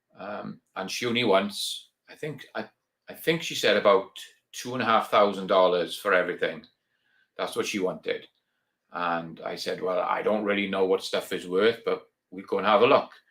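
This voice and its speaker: The speaker talks at a moderate pace in a Welsh accent. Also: man. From Wales. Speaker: reloading YouTuber. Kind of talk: live stream chat. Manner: casual, hesitant with many ums.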